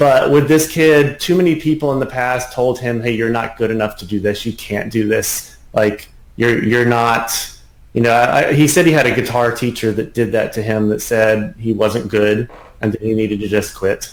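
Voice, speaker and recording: Here a man speaks in a normal speaking voice, at a moderate pace with ordinary pitch variation. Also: medium pitch for a man. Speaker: piano teacher. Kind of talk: interview.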